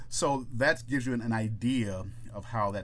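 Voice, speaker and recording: Using vocal fry, a man talks at a fairly low pitch with ordinary pitch variation. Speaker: podcast co-host. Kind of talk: casual chat. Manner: fast talker, stutters.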